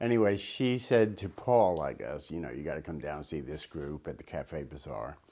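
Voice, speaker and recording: Very deep, low-pitched male voice with a dark, mellow tone and vocal fry, very wide pitch swings, big swings in loudness, a moderate pace and hardly any pauses. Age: 60s. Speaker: photographer and filmmaker. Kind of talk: interview reminiscence. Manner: halting.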